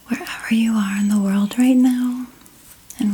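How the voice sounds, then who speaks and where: A soft-spoken woman with a gentle tone and fairly high pitch, fairly even intonation, a fairly slow pace and noticeable background noise. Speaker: ASMR artist. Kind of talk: ASMR reiki session. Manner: gentle, soft-spoken.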